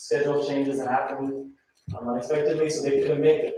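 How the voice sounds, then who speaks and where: Audible room echo surrounds a man who talks at a fairly quick pace in a fairly high pitch. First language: Korean. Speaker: preacher. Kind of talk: sermon. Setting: church. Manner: hesitant with fillers.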